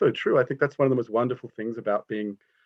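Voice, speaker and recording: Medium-pitched male speech in an Australian accent. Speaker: art critic. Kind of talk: panel discussion.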